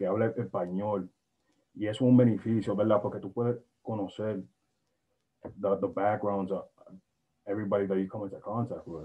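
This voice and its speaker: With an American accent, a man speaks at a fairly quick pace, fairly low in pitch and fairly even in intonation. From Brockton, Massachusetts; Massachusetts. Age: 20s. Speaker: university student; panelist. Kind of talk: panel discussion. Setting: video call. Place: home room. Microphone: video call.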